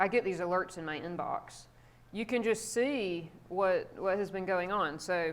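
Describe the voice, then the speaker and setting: A woman's medium-pitched voice with a South Carolina accent, a fairly slow pace and ordinary pitch variation, on a very clean recording with a silent background. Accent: toned-down South Carolina. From South Carolina, US South. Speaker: psychology professor. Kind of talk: guest lecture. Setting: classroom with students. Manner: casual, conversational.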